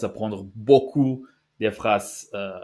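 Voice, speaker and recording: A man with a non-native accent talks with ordinary pitch variation. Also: very clean recording, silent background. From Basque Country, Spain. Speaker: language-learning youtuber. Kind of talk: tutorial. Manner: halting, many fillers and restarts.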